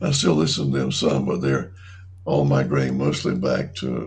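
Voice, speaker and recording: A man with a North Carolina accent speaks at a moderate pace. His pitch is very deep and low, and room echo is audible. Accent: US Southern (North Carolina). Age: 70s. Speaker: retirement community resident. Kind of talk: interview. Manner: halting.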